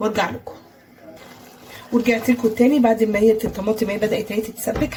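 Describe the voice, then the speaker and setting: With an Egyptian accent and a fairly high pitch, a woman talks at a fairly quick pace against noticeable background noise. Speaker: cooking channel host. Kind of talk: cooking tutorial. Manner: casual, chatty.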